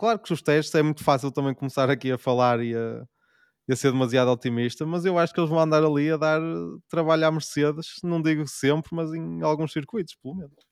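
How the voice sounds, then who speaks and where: A man with a European Portuguese accent speaks at a fairly quick pace and fairly high pitch on a very clean recording with a silent background. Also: ordinary pitch variation. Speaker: podcast co-host. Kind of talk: casual chat.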